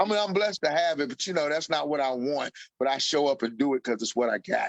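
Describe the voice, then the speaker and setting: This man speaks at a very fast pace with lively intonation and an American accent. His pitch is fairly high. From Kentucky, Louisville. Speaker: stand-up comedian. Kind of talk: casual interview chat.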